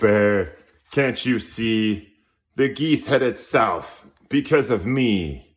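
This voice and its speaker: A man's put-on character voice at a very slow pace, medium in pitch with ordinary pitch variation. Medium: read story. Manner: forceful, scolding.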